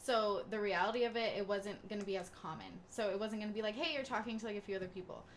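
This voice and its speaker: Over noticeable background noise, a woman with a fairly high pitch races along at a very fast pace with hardly any pauses and fairly even intonation. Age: 20s. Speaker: podcast co-host. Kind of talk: casual chat.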